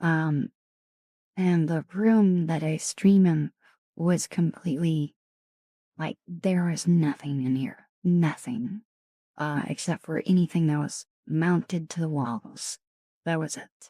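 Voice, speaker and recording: A woman's fairly low, dark and mellow voice with ordinary pitch variation, a very slow pace, long and frequent pauses, and a dry, close sound with no echo. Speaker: ASMR streamer. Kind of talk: live stream chat with viewers. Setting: home streaming room.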